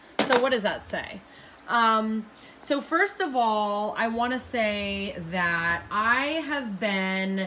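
A woman with a fairly high pitch and lively intonation over light background noise. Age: 30s. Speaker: video blogger; beauty vlogger. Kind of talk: casual vlog monologue. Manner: casual, many fillers. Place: home room. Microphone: phone near.

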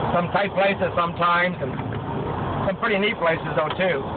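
Loud background noise surrounds the recording. A man talks at a fairly quick pace. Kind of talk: casual vlog chat. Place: car. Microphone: phone near.

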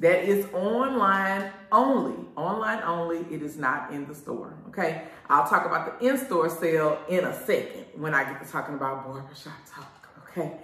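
There is audible room echo. A woman with a fairly low pitch talks at a moderate pace. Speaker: show host. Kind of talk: casual vlog chat. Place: shop.

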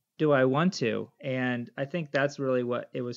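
Fairly even intonation carries a plain, everyday voice against a quiet background. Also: man. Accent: American. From United States. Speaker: missionary bush pilot. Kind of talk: interview.

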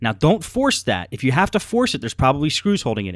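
Against a quiet background, a man talks at a very fast pace in a dry sound with no echo. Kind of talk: tutorial.

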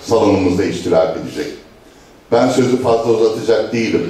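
Room echo is audible in this recording. A man talks at a moderate pace. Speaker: local party chairman. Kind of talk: political speech. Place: hall.

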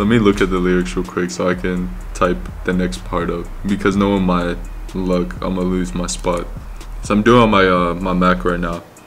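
A man's very deep, low voice at a moderate pace, with fairly even intonation and music in the background. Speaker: vlogger. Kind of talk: casual vlog chat. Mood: amused, laughing. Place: home room.

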